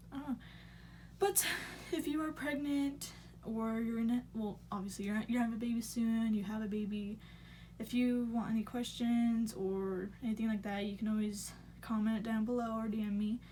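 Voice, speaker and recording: Somewhat breathy and fairly high-pitched, a woman speaks at a moderate pace in a dark, mellow tone. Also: fairly even intonation. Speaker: vlogger, new mother. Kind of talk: casual story time vlog.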